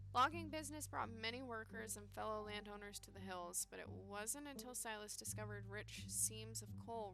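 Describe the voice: What is heard here is plain reading aloud.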